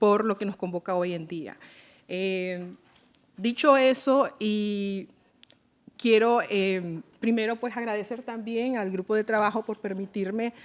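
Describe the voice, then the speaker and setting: A woman with a fairly high pitch speaks very slowly, her pitch varying in an ordinary way. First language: Miskito (speaking Spanish). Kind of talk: formal event moderation speech. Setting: UN event in Geneva. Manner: hesitant with frequent fillers.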